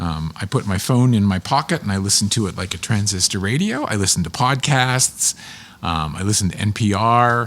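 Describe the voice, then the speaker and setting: A man with an American accent talks in an ordinary speaking voice, pitched fairly low. His pace is moderate and his pitch varies in an ordinary way. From Pittsburgh, western Pennsylvania. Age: 60s. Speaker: public television producer and narrator. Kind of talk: casual chat.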